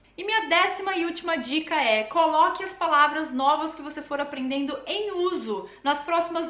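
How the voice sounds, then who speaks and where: Speaking with a São Paulo accent, a woman uses a raised, projected voice with a bright, sharp tone amid audible room echo. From Brazil, São Paulo. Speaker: language learning youtuber. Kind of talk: tutorial. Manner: casual, conversational.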